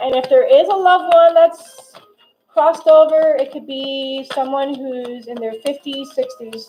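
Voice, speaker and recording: A woman's high voice with ordinary pitch variation and big swings in loudness. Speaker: tarot reader. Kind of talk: live tarot reading. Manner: fast; halting, self-correcting.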